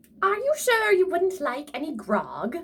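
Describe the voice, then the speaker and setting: In a put-on character voice, a woman sounds gruff at an extremely high pitch while keeping a moderate pace. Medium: read story. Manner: grouchy, gruff.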